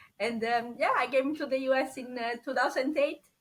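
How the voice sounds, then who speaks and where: With a strong Italian accent, a woman talks at a high pitch. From Italy. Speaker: scientist turned insurance agent. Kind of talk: podcast interview.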